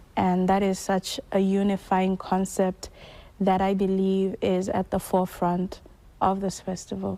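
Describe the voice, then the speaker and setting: A woman talks at a fairly slow pace in a medium pitch. Her dark, mellow tone stays monotone and flat. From Botswana. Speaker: filmmaker and actor. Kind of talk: TV news interview answer.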